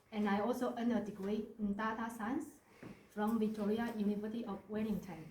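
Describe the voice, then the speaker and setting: A woman with a fairly high voice speaks at a moderate pace. Audible room echo and noticeable background noise surround her. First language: not English (English is third language). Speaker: mayoral candidate. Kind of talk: campaign speech. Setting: community centre meeting with audience.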